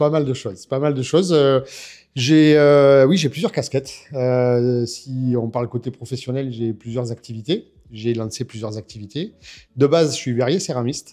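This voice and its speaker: A man in a southern French accent, medium pitch, dark, mellow tone, ordinary pitch variation and moderate pace. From France. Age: 50s. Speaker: drift driver and coach. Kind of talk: interview. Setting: in person. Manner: hesitant, many fillers.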